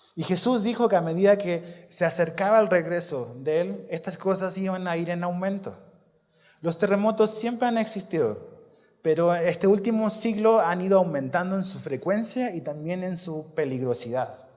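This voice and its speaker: A man talks in a high voice at a moderate pace. Audible room echo is present. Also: ordinary pitch variation. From Chile. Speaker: pastor. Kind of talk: sermon.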